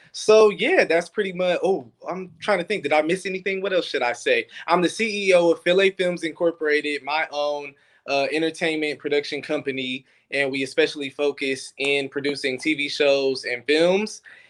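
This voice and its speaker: A man with an American accent speaks in an ordinary speaking voice, fairly high in pitch, at a moderate pace with ordinary pitch variation. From Detroit, US Midwest. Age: 20s. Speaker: filmmaker. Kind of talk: interview. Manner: casual.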